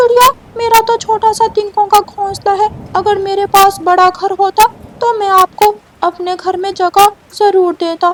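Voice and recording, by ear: A woman performs a cartoonish character voice at an extremely high pitch. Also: moderate pace.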